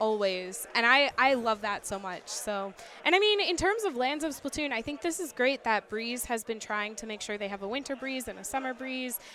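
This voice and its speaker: A woman's high, animated voice with an American accent, lively intonation and hardly any pauses, over noticeable background noise. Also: moderate pace. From United States. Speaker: esports caster. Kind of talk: live commentary. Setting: tournament venue.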